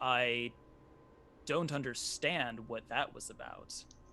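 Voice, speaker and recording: A man puts on a character voice at a medium pitch and a fairly slow pace. Background noise is clearly heard. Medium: actual play. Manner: calm, soft-spoken, eerily polite.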